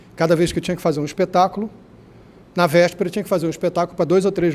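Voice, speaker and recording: A man's high-pitched voice with a dark, mellow tone, on a very clean recording with a silent background. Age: 60s. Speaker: astrologer and former stage artist. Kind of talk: panel debate.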